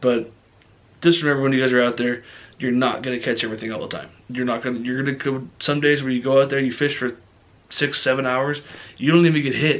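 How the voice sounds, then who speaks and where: Very fast speech from a man at medium pitch, with fairly even intonation. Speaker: fishing vlogger. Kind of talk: casual vlog talk to camera. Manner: many fillers (um, uh).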